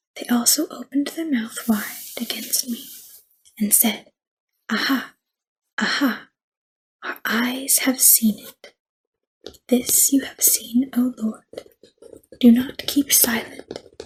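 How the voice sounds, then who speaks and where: This soft-spoken voice moves at a very slow pace, broken by long, frequent pauses. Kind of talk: ASMR scripture reading.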